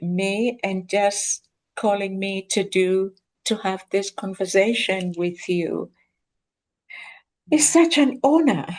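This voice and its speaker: Speech in a Kenyan accent comes at a very slow pace with long, frequent pauses and ordinary pitch variation. The background is quiet. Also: woman. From rural Kenya. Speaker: professor, guest. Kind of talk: interview conversation.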